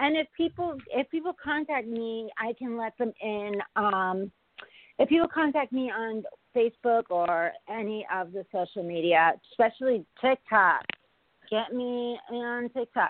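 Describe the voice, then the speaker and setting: A woman's plain, everyday voice, fairly high in pitch, with lively intonation at a fairly slow pace. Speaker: comedian. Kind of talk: casual chat.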